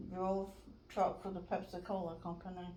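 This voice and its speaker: A woman speaks with an American accent over noticeable background noise, with audible room echo. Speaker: navy veteran. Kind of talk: oral history interview.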